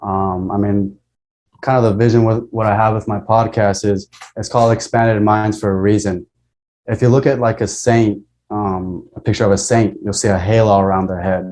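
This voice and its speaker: This man talks fairly quickly with a fairly low pitch and fairly even intonation. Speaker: podcast host. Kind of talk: casual chat. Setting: video call. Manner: articulate, well-structured.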